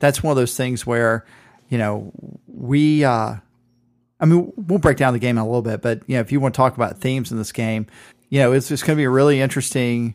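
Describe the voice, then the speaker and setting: On a very clean recording with a silent background, a man with an American accent talks in a normal speaking voice at medium pitch. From Southeast Georgia, US South. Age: 40s. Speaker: sports podcast co-host. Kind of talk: casual chat.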